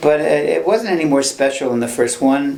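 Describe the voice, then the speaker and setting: A man's fairly high-pitched voice at a fairly quick pace, with lively intonation, audible room echo and noticeable background noise. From Ireland and Scotland. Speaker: film sound mixer. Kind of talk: interview, casual chat. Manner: halting, many false starts.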